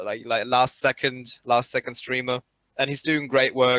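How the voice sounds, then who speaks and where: Spoken in a German accent at a fairly slow pace, the voice has a bright, sharp tone and a dry, close sound with no echo. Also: man. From Germany. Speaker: esports caster. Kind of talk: live commentary. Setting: live stream.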